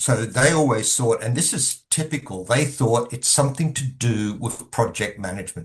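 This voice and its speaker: At a moderate pace, a somewhat breathy man speaks at a medium pitch with ordinary pitch variation. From Australia. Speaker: governance consultant. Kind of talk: podcast interview.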